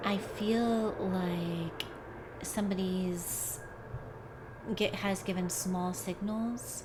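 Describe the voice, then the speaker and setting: Over noticeable background noise and audible room echo, a woman talks at a very slow pace in a monotone, flat intonation, with long, frequent pauses. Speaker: tarot card reader. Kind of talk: tarot reading. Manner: reflective, intuitive musing.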